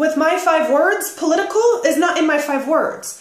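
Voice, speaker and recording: A loud, animated woman's voice, extremely high in pitch with very wide swings, amid noticeable background noise and audible room echo. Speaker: direct sales business coach. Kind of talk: tutorial. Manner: casual and animated.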